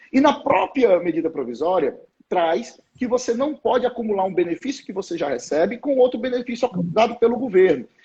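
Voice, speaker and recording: The man talks at a fairly quick pace with a high pitch. His intonation is lively. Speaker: labor law professor. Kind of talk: live stream lecture on labor law. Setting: Instagram live. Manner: fast.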